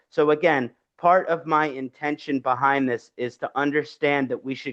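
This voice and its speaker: Against a quiet background, a man with a strong Philadelphia accent talks at a fairly high pitch with fairly even intonation. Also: dry, close sound with no echo. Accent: thick Philadelphia. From US, Philadelphia, Pennsylvania. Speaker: Vedic astrologer. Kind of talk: lecture.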